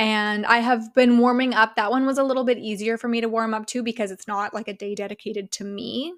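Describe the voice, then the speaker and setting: On a very clean recording with a silent background, a woman with an unremarkable speaking voice talks at a fairly quick pace, with a fairly high pitch and fairly even intonation. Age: 30s. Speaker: podcast host and life coach. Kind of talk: casual solo monologue.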